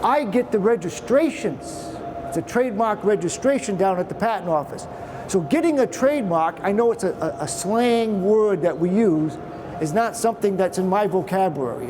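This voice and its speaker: A man with a Boston accent speaks high in pitch with lively intonation at a fairly quick pace. Noticeable background noise can be heard. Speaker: patent attorney. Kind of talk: presentation to trade show audience. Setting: trade show presentation with audience. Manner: casual, conversational.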